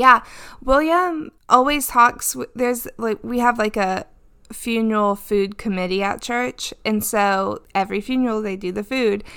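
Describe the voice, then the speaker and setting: A woman with a fairly high pitch and a bright, sharp tone speaks at a fairly slow pace. Her pitch varies in an ordinary way, and the recording is very clean with a silent background. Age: 30s. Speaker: podcast co-host, pastor's wife. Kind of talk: casual chat.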